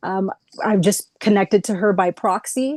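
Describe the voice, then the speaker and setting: Speaking in an ordinary speaking voice, a woman keeps a medium pitch and a fairly slow pace. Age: 30s. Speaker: energy healing practitioner. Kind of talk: explanatory presentation on a video call.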